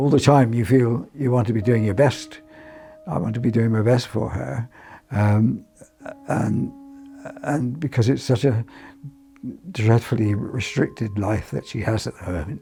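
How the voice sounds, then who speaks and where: With music in the background, a man speaks at a fairly slow pace and medium pitch, with ordinary pitch variation and long, frequent pauses. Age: 80s+. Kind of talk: interview testimony. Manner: halting.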